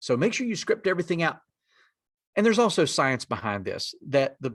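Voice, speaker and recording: A man's high, bright and sharp voice in a strong North Carolina mountain accent, with very wide pitch swings and a quiet background. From western North Carolina mountains. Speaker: executive director of a native community lender, presenter. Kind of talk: conference presentation.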